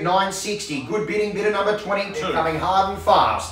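Audible room echo and light background noise surround a man who talks fairly quickly at a high pitch with fairly even intonation. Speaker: auctioneer. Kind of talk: property auction call. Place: office.

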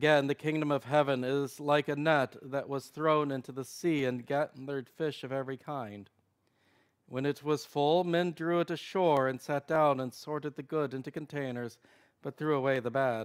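Against a quiet background, a man speaks at a moderate pace. His pitch is fairly high, with fairly even intonation. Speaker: prayer service leader. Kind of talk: morning prayer service, liturgical reading and prayer. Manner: formal, reverent; fervent, earnest prayer delivery. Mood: calm, solemn. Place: church.

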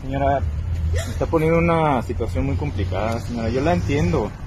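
The speech moves at a fairly quick pace with ordinary pitch variation. Background noise is clearly audible. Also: man, medium pitch for a man.

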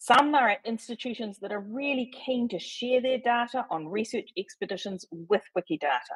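Against a quiet background, a woman with a New Zealand accent talks at a moderate pace with hardly any pauses, a fairly high pitch and lively intonation. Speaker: volunteer wiki editor. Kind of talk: presentation. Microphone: video call.

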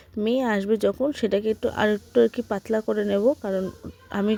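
Soft-spoken and fairly high in pitch, a woman talks with fairly even intonation in a dry, close sound with no echo. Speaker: vlogger, housewife. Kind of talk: casual vlog narration. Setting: at home.

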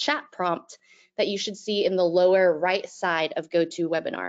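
With a quiet background behind her, the woman talks at a moderate pace. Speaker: webinar host. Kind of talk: webinar introduction. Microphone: video call.

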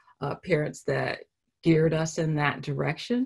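A somewhat breathy voice with an American accent, heard against a quiet background. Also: woman. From Los Angeles. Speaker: painter; artist giving a lecture. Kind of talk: artist lecture with Q&A. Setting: video call. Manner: halting, many fillers. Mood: reflective, warm. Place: home room. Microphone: video call.

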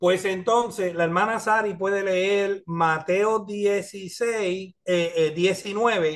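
The man's voice sits at a high pitch with fairly even intonation. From US, New York (Spanish Harlem); New York. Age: 50s. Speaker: pastor and teacher; pastor, teacher. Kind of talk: bible study class. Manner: hesitant with filler sounds. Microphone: video call.

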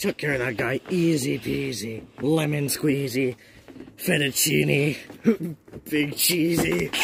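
Putting on a cartoonish character voice, a man speaks at medium pitch and a fairly slow pace. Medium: puppet.

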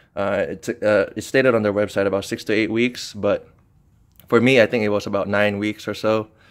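Against a quiet background, a man with a fairly low pitch speaks at a moderate pace in a monotone, flat intonation. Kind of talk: casual product walkthrough. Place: garage. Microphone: phone near.

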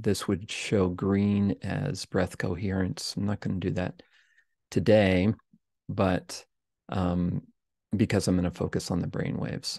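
Soft-spoken and calm, the voice has a dark, mellow tone and moves at a very slow pace with long, frequent pauses, sounding dry with no echo over a quiet background. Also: man. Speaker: podcast host and meditation teacher. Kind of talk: guided meditation with screen-share explanation. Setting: livestream screen share, self-recorded. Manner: calm, slow, soft-spoken; instructive, measured, explanatory. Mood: calm, gentle. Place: home room.

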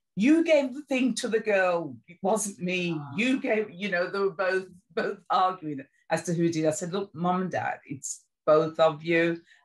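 Against a quiet background, a woman talks at a fairly slow pace. Her intonation is lively. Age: 60s. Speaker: sickle cell patient. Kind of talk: interview answer. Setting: video call. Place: home room. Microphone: video call.

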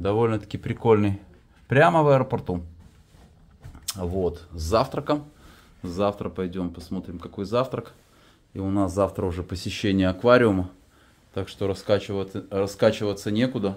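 Long, frequent pauses from a man with fairly low pitch and ordinary pitch variation. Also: moderate pace. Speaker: travel vlogger. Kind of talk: casual vlog chat. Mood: relaxed, amused. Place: home room. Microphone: phone near.

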